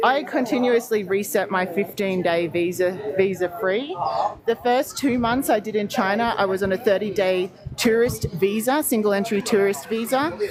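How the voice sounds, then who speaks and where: A woman's medium-pitched voice with an Australian accent, at very even loudness, amid noticeable background noise. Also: ordinary pitch variation, moderate pace. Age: 40s. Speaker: travel livestreamer. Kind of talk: live stream walkthrough with chat. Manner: animated.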